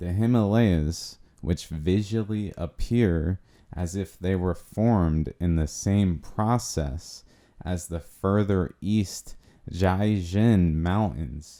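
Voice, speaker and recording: The voice is dark and mellow, with ordinary pitch variation, at a very slow pace. The recording is very clean, with a silent background. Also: man, very deep, low pitch for a man. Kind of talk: documentary narration. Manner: unexcited, cocky.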